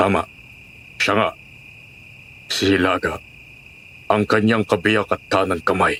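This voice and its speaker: A man puts on a raspy character voice, fairly low in pitch, monotone and flat, with very even loudness. He goes at a fairly slow pace with long, frequent pauses, over clear background noise. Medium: audio drama. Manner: cryptic, ominous.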